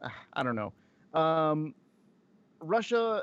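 The man speaks over a quiet background. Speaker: podcast co-host. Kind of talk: casual chat.

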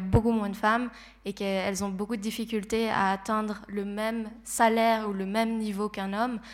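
A woman's monotone, flat voice at a medium pitch. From Switzerland, Geneva. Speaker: psychology student and streamer. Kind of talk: panel talk.

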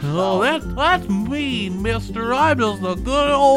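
A female-sounding voice uses a put-on character voice at a medium pitch for a woman. The pace is very slow, with loud music in the background. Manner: distressed, pleading.

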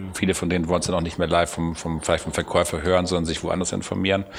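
This man speaks with a very deep, low pitch. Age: 50s. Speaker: car company executive. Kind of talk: interview. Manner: halting.

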